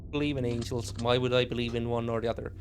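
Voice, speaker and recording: Pitched in the medium range, a man talks with a non-native accent. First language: not English. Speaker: streamer. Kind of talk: gaming commentary. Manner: halting.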